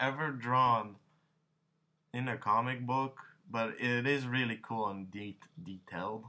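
At a fairly slow pace, a man speaks in a bright, sharp tone. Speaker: young comic artist. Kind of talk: casual vlog chat. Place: home room. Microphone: webcam.

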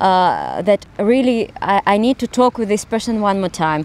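Speaking fairly slowly in a Russian accent, a woman uses ordinary pitch variation in a dry sound with no echo. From Russia (Smolensk, later Moscow). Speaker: actress. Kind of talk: casual interview. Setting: outdoors. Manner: halting. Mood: warm, reflective. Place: garden. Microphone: handheld.

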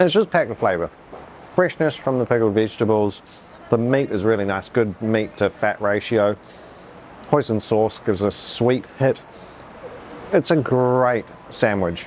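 A man speaks at a moderate pace with ordinary pitch variation and long, frequent pauses over light background noise. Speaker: food vlogger. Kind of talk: casual vlog chat. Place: street. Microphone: phone near.

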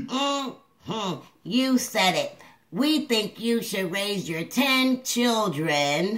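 This cartoonish character voice sounds female and sits fairly high in pitch. It moves at a very slow pace. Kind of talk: comedic puppet advice show. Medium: puppet.

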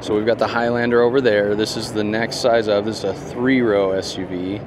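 Fairly quick and with fairly even intonation, a man's voice sounds dry with no echo, though background noise is noticeable. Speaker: car reviewer. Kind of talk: walkaround commentary. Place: hall. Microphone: phone near.

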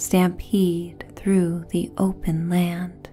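Soft-spoken and calm in tone, a woman talks very slowly in a fairly low pitch while faint music plays in the background. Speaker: meditation guide. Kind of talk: sleep story; guided meditation narration. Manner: calm, soft-spoken. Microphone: studio mic.

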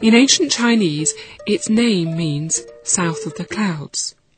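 Music plays in the background as a woman speaks. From United Kingdom. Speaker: storyteller. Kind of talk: children's audiobook story narration. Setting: studio.

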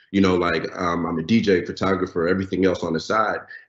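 With audible room echo but a quiet background, a man speaks at a fairly quick pace in a very deep, low pitch. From Lagos, Nigeria. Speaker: software engineer and DJ; panelist. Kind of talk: panel discussion. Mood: relaxed, sincere. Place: home room. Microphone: video call.

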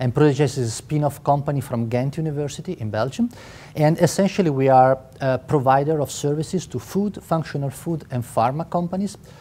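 With an Italian accent, a man talks at a fairly quick pace with ordinary pitch variation. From Italy. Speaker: biotech company co-founder. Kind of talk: interview. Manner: halting. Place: hall.

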